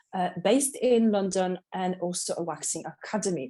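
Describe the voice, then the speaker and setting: In a Polish accent, a woman speaks in a dark, mellow tone. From Poland, Katowice. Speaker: waxing specialist and salon owner. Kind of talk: interview. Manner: energetic.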